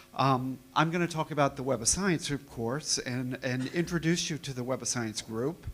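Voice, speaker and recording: A man with a fairly high pitch talks at a moderate pace with hardly any pauses and ordinary pitch variation. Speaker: company representative presenting to customers. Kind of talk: conference presentation. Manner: animated. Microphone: too far from the microphone at first.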